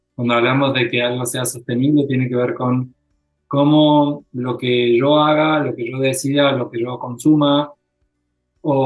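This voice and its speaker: With music in the background, a man of medium pitch speaks in an Argentine accent at a fairly slow pace, his intonation monotone and flat. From Argentina. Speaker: psychologist. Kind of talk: interview. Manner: halting.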